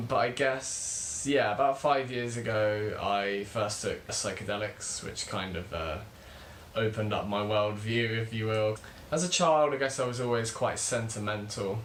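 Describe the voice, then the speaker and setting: There is audible room echo as a man with a British accent talks at a fairly slow pace. His medium pitch shows ordinary variation. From UK. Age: 20s. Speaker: spiritual teacher, channel host. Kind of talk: casual vlog monologue.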